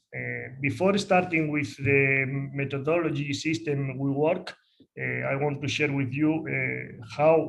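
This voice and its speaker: Speaking with a Spanish accent, a man uses a fairly high pitch at a fairly slow pace. Room echo is audible. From northern Spain, Asturias. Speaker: football coach. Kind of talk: lecture. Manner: halting, many fillers.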